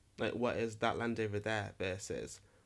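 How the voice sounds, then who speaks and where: On a very clean recording with a silent background, a man with an East Midlands accent speaks at a moderate pace in a medium pitch. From England, Nottingham. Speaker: actor and podcast host. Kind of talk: solo monologue podcast. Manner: animated, frequent laughter.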